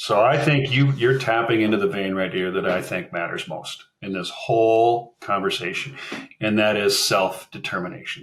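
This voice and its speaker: A man talks at a moderate pace with a medium pitch. He has a Minnesotan accent. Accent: Minnesota. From Minnesota, US. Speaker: fractional marketing executive. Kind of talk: podcast interview.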